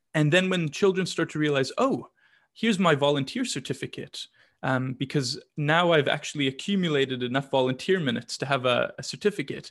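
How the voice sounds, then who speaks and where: With a Canadian accent, a man talks at a fairly quick pace in a fairly high pitch with ordinary pitch variation, an unremarkable speaking voice against a quiet background. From Canada, Vancouver. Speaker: literacy nonprofit founder. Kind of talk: interview.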